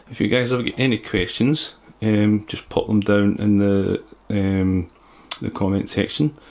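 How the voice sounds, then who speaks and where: In a Scottish accent, a man speaks with a fairly low pitch and fairly even intonation. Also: fairly slow pace. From Scotland. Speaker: PC builder youtuber. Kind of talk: tutorial. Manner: halting.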